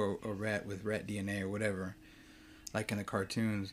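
A man at a fairly quick pace on a very clean recording with a silent background. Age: 30s. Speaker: podcast host reviewing movies. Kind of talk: solo casual movie talk. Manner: animated.

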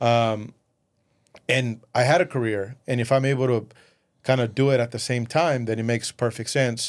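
A man at medium pitch and moderate pace, fairly even intonation, on a very clean recording with a silent background. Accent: Spanish. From Mexico, raised in West Texas from age 11. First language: Spanish. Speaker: entrepreneur. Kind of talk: casual interview. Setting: studio.

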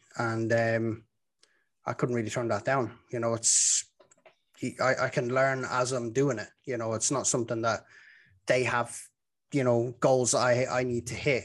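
A man with a Dublin accent, medium pitch, monotone, flat intonation, a fairly slow pace, and long, frequent pauses. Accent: Dublin Irish. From Ireland, Dublin. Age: 30s. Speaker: football commentator. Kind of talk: casual chat.

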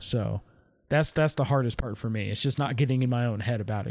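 At a very fast pace, a man with a medium pitch talks with fairly even intonation. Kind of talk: casual chat. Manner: monotone.

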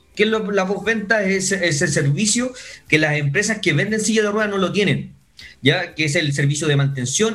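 A man talks at a fairly quick pace with ordinary pitch variation. There is audible room echo. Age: 30s. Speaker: entrepreneur, wheelchair user. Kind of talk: interview.

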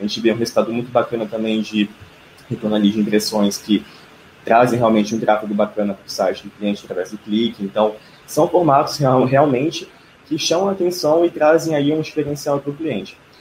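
Using a normal speaking voice, a man talks at a fairly quick pace and a medium pitch. His intonation is lively, with big swings in loudness. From Brasília, Brazil. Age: 20s. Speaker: digital marketing customer success specialist. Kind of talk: live stream panel discussion. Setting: online live stream.

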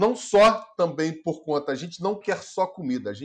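A man talks at a moderate pace in a normal speaking voice. His pitch is fairly high, and his intonation is lively. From Rio de Janeiro state, Brazil. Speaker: film producer. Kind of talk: casual interview.

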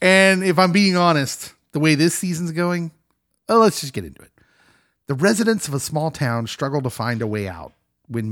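A man at a moderate pace, with very wide pitch swings and big swings in loudness, on a very clean recording with a silent background. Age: 40s. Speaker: pastor and pop culture podcast co-host. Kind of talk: casual chat.

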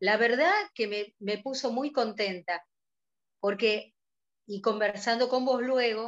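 A woman speaks with a Rioplatense accent. Her pace is fairly slow. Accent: Argentine Spanish (rioplatense). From Argentina. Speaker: business director of an online fashion platform. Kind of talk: interview.

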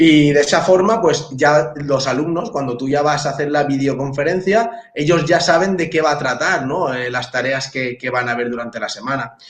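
Over noticeable background noise, a man talks with hardly any pauses, his fairly high pitch showing ordinary variation. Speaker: teacher. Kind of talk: casual chat. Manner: fast.

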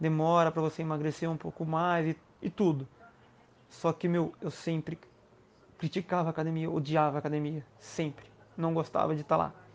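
A man in a Brazilian accent at a fairly high pitch, moderate pace and flat, monotone intonation, with long, frequent pauses. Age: 30s. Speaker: crossfit instructor. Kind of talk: interview.

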